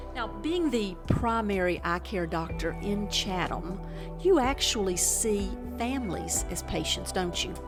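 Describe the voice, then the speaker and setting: Music plays behind the speaker. She is a woman talking at a fairly slow pace. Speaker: infomercial host. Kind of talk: infomercial interview questions.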